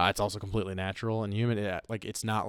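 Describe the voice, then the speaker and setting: In a very clean recording with a silent background, a man speaks at a very fast pace in a monotone, flat intonation. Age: 30s. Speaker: brewery owner. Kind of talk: casual chat. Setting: brewery taproom.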